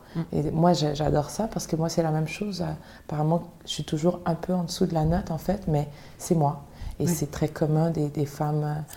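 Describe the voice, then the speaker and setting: A woman with a fairly low pitch speaks at a moderate pace in a flat monotone, her dark, mellow tone somewhat breathy. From Montreal, Quebec. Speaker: singer. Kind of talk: interview.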